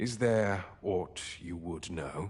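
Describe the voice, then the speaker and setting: This man puts on a character voice. His pitch sits very deep and low. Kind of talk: archaic formal speech. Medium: video game. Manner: measured, formal, speculative.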